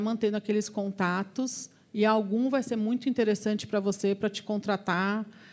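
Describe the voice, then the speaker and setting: A woman talks at medium pitch and a moderate pace. The recording is very clean, with a silent background. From Brazil, interior of São Paulo state (Avaré). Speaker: engineer and recruitment business owner, guest lecturer. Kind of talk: lecture Q&A with students. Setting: university lecture hall with students. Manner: animated.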